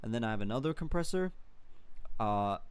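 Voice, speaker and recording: A man with ordinary pitch variation. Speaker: music producer. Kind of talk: tutorial. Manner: many filler words, casual.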